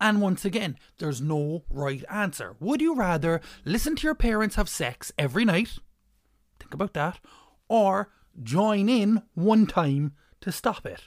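The speaker has an Irish accent and talks at a fairly slow pace. The recording is very clean, with a silent background. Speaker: comedian. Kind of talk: stand-up comedy rant with a scripted feel.

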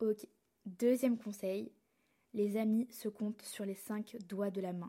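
A woman's fairly high, somewhat breathy voice has a dark, mellow tone and fairly even intonation. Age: young. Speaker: podcast host. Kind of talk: solo podcast monologue.

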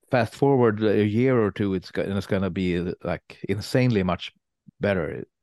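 A man speaks with a Swedish accent at a moderate pace. His pitch is fairly low, with ordinary pitch variation. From Sweden. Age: 40s. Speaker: metal guitarist and songwriter. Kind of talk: casual interview.

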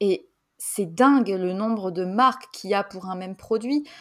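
The speaker has a normal speaking voice and a fairly slow pace. The recording is very clean, with a silent background. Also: woman. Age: 20s. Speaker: podcast host. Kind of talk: casual interview.

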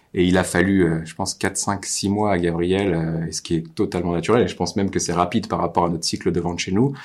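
A man with a very deep, low voice talks at a fairly quick pace and fairly even intonation on a very clean recording with a silent background. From Normandy, France. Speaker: marketing agency owner and podcast host. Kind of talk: casual interview. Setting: on location at client's office.

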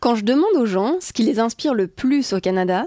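A woman's fairly high voice has a dark, mellow tone, captured with a dry, close sound and no echo. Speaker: podcast co-host. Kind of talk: travel podcast hosting, partly scripted.

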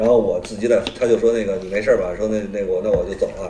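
A man talks very fast, with noticeable background noise present. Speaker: comedian. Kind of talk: casual chat.

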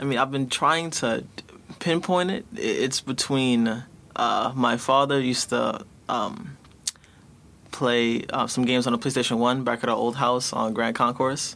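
A man speaks in a plain, everyday voice at a fairly slow pace. His medium pitch shows ordinary variation. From New York City, Bronx. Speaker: former youth tech program participant. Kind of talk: casual chat.

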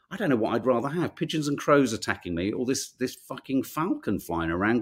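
A man speaks with a fairly high pitch and vocal fry. His tone is animated, with hardly any pauses. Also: very clean recording, silent background. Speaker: podcast host reading newspaper headlines. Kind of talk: casual chat, live-stream newspaper review. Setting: live stream with chat audience. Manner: chatty, informal, animated.

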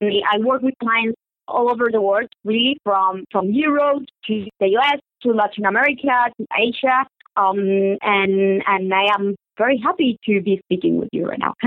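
The voice has ordinary pitch variation and a Spanish accent. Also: woman, fairly high pitch for a woman, moderate pace. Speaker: SEO consultant. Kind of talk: interview. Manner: repeats words, slightly halting.

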